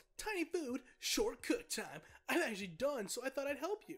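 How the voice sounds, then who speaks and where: A put-on character voice, high-pitched and bubbly with an enthusiastic tone, comes at a moderate pace. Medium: game stream. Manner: bubbly, enthusiastic.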